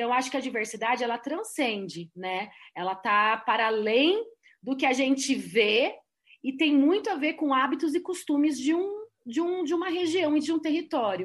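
Against a quiet background, a woman speaks at a moderate pace with a high pitch and very wide pitch swings. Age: 40s. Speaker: tourism and environment specialist. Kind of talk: panel discussion.

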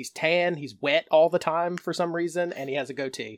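A man's ordinary speaking voice, fairly high in pitch and fairly quick in pace, with an American accent, on a very clean recording with a silent background. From North Carolina. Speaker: podcast co-host. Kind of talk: casual chat.

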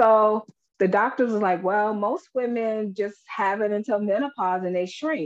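A woman with a plain, everyday voice speaks fairly slowly at a fairly high pitch, with ordinary pitch variation. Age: 40s. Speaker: empowerment and life coach. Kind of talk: casual chat.

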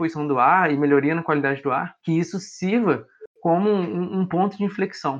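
A man speaks at a fairly quick pace in a fairly high pitch, with a plain, everyday voice. The background is quiet. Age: young. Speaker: podcast co-host, environmental engineering student. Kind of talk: casual informative podcast chat.

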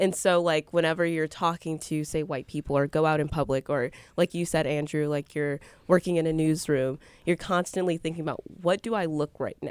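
In a very clean recording with a silent background and a dry, close sound with no echo, a woman with an American accent talks at a fairly quick pace at a very deep, low pitch with fairly even intonation. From Milwaukee, Wisconsin (Northwest side). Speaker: college student. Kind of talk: casual chat.

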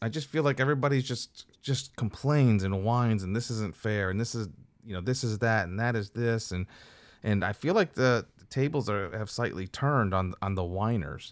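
A man with a plain, everyday voice talks at medium pitch and a moderate pace, his pitch varying in an ordinary way. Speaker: podcast co-host. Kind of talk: casual banter. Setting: recorded on Zoom.

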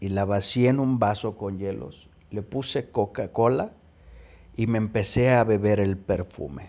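A man with a Mexican accent, fairly low in pitch, fairly slow in pace, with ordinary pitch variation and a dark, mellow tone. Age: 30s. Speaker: podcast host sharing recovery story. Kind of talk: personal testimony. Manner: casual, colloquial.

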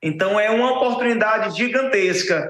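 Ordinary pitch variation runs through a man's voice, which is high in pitch. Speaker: optical store owner, CEO. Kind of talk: infomercial pitch. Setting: live TV studio. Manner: animated, enthusiastic, salesy; halting, repeats words.

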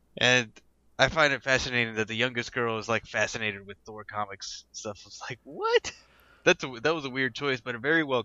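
Talking at a fairly quick pace, a man has a plain, everyday voice at a medium pitch, with ordinary pitch variation and big swings in loudness. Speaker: podcast co-host. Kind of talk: casual chat about movies and TV. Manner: jokey, laughs often.

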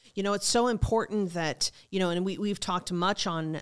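A woman with a fairly low pitch and an unremarkable speaking voice talks at a moderate pace with ordinary pitch variation, in a very clean recording with a silent background. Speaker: pastor. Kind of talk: sermon-style preaching talk. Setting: studio.

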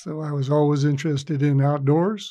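Against a quiet background, a man with a plain, everyday voice talks at a fairly quick pace and a fairly high pitch. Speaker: program director. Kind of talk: casual interview.

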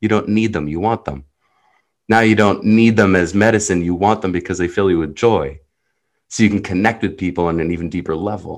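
A man talks at a fairly quick pace with an Israeli accent and a fairly low pitch. The background is quiet. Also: ordinary pitch variation. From New Jersey. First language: Hebrew. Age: 30s. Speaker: life coach. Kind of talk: interview.

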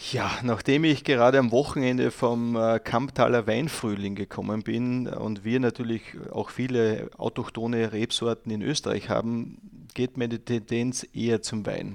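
A man speaks at a fairly slow pace in a flat monotone. He hardly pauses at all. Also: medium pitch for a man. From Austria, Styria. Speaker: guest talking about his country. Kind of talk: casual interview. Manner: halting, many fillers.

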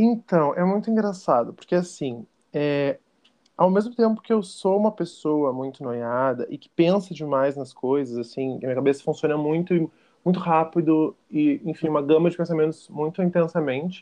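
An ordinary speaking voice at a moderate pace, with ordinary pitch variation and big swings in loudness. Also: man, fairly high pitch for a man. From Porto Alegre, southern Brazil. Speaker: podcast guest, theater student. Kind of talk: casual chat.

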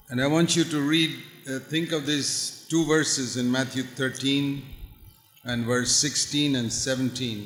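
Fairly even intonation comes through audible room echo and noticeable background noise. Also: man, medium pitch for a man. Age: old. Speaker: preacher. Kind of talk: sermon. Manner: short phrases paused for interpreter.

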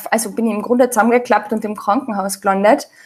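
A woman with an Austrian accent. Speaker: sprouts expert and author. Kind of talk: interview.

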